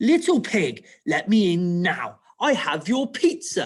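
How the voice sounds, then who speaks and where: The speaker puts on a character voice. Pitch swings are very wide. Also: man, extremely high pitch for a man, fairly slow pace. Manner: cross, snapping.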